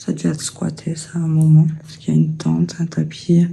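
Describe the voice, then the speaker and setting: Moderately paced, soft-spoken delivery. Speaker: urbex explorer vlogger. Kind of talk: walkthrough vlog narration. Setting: exploring an abandoned house.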